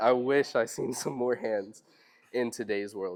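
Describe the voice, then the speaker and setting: Fairly even intonation comes with an American accent. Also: man. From US South, Robeson County, North Carolina. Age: 20s. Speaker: fisherman, seminar speaker. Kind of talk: public talk to audience. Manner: hesitant, many fillers.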